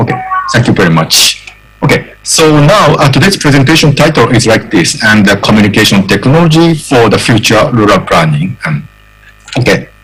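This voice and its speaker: Over noticeable background noise, a man speaks at a moderate pace in a medium pitch. His pitch swings very widely while his loudness stays very even. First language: Japanese. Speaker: professor. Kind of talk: lecture. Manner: halting, many fillers.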